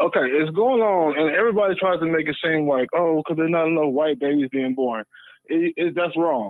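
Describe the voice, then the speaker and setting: This is an ordinary speaking voice at a fairly quick pace. Its pitch varies in an ordinary way, and its loudness stays very even. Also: man, fairly high pitch for a man. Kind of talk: opinionated casual debate.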